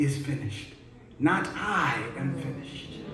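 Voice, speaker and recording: A man speaks over noticeable background noise. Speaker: spoken word poet. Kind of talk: spoken word poetry performance. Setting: live church event with audience.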